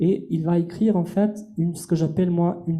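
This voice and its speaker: With an Albanian accent, this voice has a dark, mellow tone and audible room echo. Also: man. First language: Albanian (speaking French). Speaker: translator and lecturer. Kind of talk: masterclass lecture.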